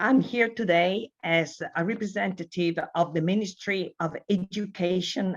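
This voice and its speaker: A woman with an Italian accent speaks at a fairly slow pace. Her pitch is fairly low, and her intonation is lively. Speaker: education ministry official. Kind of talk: formal speech. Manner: formal.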